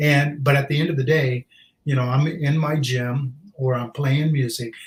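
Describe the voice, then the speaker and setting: A man talks at a moderate pace with a fairly high, somewhat breathy voice. His intonation is monotone and flat. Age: 60s. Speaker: junk removal business owner. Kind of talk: podcast interview.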